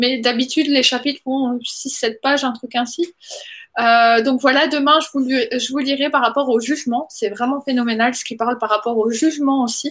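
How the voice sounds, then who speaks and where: This woman has a high-pitched voice and fairly even intonation. She talks at a moderate pace. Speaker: vlogger sharing book readings. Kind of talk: casual vlog talk with reading aloud. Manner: hesitant, many fillers.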